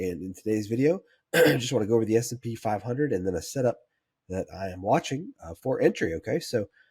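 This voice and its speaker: Talking at a very fast pace, a man uses lively intonation and a medium pitch. His voice is somewhat breathy. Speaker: stock trading analyst. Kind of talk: market analysis tutorial. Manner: hesitant with fillers.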